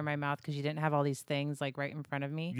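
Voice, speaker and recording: A woman talks at a very fast pace in a very deep, low voice. The recording is very clean, dry and close, with a silent background and no echo. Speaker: podcast guest. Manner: expressive, pitch goes up and down when excited.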